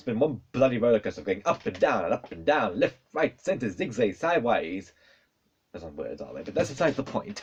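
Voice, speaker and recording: Pitch swings are very wide. Vocal fry runs through the voice. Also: man. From South Africa. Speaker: YouTuber. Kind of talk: casual vlog. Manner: fast.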